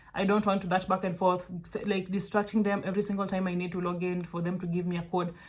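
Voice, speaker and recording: The voice moves at a fairly quick pace. It sounds somewhat breathy. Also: woman. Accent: Kenyan. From Kenya. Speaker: virtual assistant mentor. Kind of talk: casual tutorial talk to camera. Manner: animated, conversational with frequent fillers.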